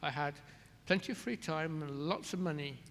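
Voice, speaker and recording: A man speaks fairly quickly in a fairly high pitch, with an ordinary speaking voice. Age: 60s. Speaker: care resort director. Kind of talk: interview Q&A at a symposium.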